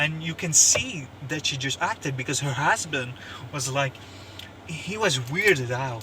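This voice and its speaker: With a non-native accent, a man with a fairly high voice speaks at a fairly slow pace, using ordinary pitch variation over noticeable background noise. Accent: non-native English, says pronunciation is bad. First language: not English (French, Russian or Turkish). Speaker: YouTuber commentator. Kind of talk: opinion monologue. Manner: halting, many fillers and repeats; animated.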